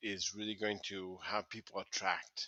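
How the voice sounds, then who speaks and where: In a dry, close sound with no echo, a man speaks with a bright, sharp tone and monotone, flat intonation. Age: 40s. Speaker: LinkedIn coach. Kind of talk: interview. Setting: live video call. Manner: halting, many fillers and repetitions.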